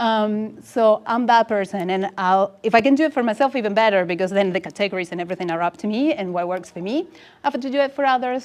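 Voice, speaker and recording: This woman has a fairly high pitch and an Argentine accent. She talks at a fairly quick pace with lively intonation. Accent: Argentinian. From Argentina. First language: Spanish. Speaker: UX designer. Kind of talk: conference talk. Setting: meetup with audience.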